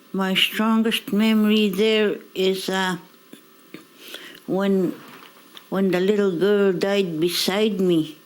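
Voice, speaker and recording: Delivery is very slow, with long, frequent pauses and fairly even intonation. Loudness stays very even, and there is noticeable background noise. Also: woman, medium pitch for a woman. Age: 70s. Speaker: residential school survivor. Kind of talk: testimony.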